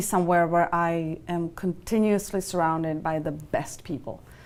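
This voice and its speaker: A woman speaks with a Czech accent at a fairly low pitch. Her intonation is fairly even. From Czech Republic. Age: 30s. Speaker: finance executive. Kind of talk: interview. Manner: halting, many fillers.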